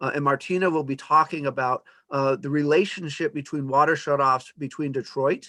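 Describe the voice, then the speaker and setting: At a fairly quick pace, a man talks in a fairly high voice with a bright, sharp tone and fairly even intonation. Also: quiet background. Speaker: academic presenter. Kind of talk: lecture. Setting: video call. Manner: fast.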